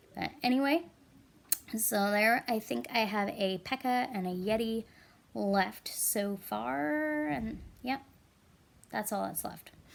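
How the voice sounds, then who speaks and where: At a very slow pace with long, frequent pauses, a woman of medium pitch speaks in very wide pitch swings. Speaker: gaming video creator. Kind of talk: gameplay commentary. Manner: casual, hesitant with fillers.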